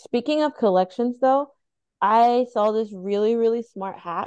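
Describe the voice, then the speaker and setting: Her voice is a normal speaking voice, fairly high for a woman, with ordinary pitch variation. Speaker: podcast co-host. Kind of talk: casual chat. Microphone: new microphone.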